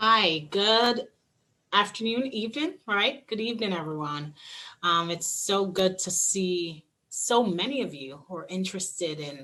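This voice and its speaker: A woman's bright, sharp voice with lively intonation. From Jamaica, Montego Bay. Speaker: lawyer. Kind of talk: panel discussion.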